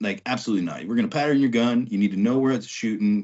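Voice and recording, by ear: Speaking fast with an American accent, a man lets his pitch swing widely over a slightly husky edge.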